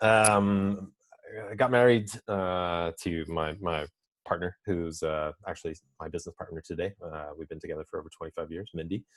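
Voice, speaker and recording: A man with an American accent talks at a moderate pace in a very deep, low voice, with ordinary pitch variation and big swings in loudness. The sound is dry and close, with no echo. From US Midwest, Indiana. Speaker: business consultant. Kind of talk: interview.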